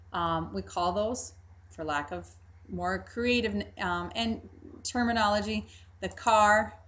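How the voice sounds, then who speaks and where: A woman at a very slow pace, with long, frequent pauses and audible room echo. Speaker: Spanish teacher. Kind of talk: lecture.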